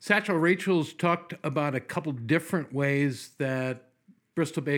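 A man with a fairly high voice speaks at a moderate pace with lively intonation, recorded very cleanly against a silent background. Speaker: radio host. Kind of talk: radio DJ patter, jokey rock-and-roll hype. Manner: playful, enthusiastic.

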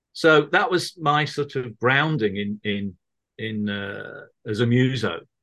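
A bright, sharp tone with lively intonation comes through in a Mancunian accent at a very slow pace. The background is quiet. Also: man, medium pitch for a man. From Manchester, northern England. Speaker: musician and author. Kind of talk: casual chat. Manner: halting, many fillers and repeats.

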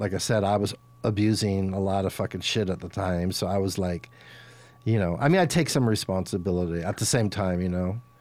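A man with an American accent, fairly low in pitch, at a fairly quick pace. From Los Angeles, US. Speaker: rock musician. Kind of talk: casual chat. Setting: studio.

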